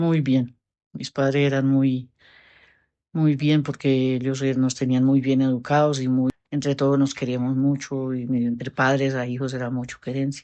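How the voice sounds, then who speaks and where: A woman talks in a very deep, low voice. Her intonation is monotone and flat, at a moderate pace. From Colombia, Cundinamarca (Quetame). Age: 60s. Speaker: interviewee, elderly woman. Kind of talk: interview.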